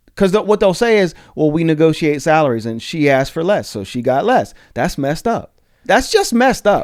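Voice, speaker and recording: A loud, animated man in an American accent, high-pitched, with very wide pitch swings and a fairly quick pace. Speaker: podcast host. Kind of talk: casual chat.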